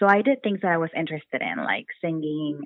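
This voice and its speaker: This woman speaks in a very deep, low pitch with an American accent and ordinary pitch variation. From Texas, Brownsville. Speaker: mental health therapist. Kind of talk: casual interview.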